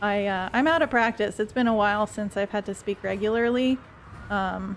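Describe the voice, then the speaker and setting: A plain, everyday voice from a woman, medium in pitch, ordinary pitch variation, moderate pace. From Quebec (French Canada). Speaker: video game streamer. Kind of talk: gameplay livestream commentary with chat. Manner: casual, conversational.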